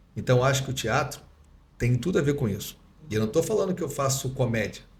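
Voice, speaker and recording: At a fairly quick pace, a man speaks with a medium pitch and a somewhat breathy voice, with audible room echo. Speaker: dentist and lecturer. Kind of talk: podcast interview. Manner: fast; swallows words.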